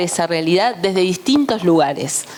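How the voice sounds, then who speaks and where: A woman at a moderate pace with lively intonation, over noticeable background noise. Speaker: journalist, conference speaker. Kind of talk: conference talk. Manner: animated.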